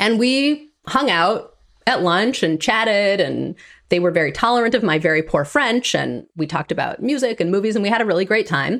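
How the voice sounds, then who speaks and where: A woman at a medium pitch with an American accent, very wide pitch swings, very even loudness and a moderate pace, in a quiet background. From Wisconsin (Green Bay). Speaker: author. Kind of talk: interview conversation.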